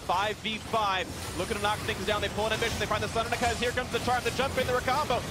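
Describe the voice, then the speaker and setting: A man talks at an extremely high pitch and a very fast pace in an animated tone. Music plays in the background. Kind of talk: esports commentary. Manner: fast, animated play-by-play; excitable, rising pitch at kills.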